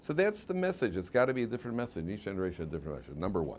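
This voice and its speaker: A man's voice with vocal fry and very wide pitch swings over light background noise. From US Midwest (Chicago). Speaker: rabbi and Torah teacher; rabbi, Torah teacher. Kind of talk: lecture. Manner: conversational, interactive with audience. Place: classroom.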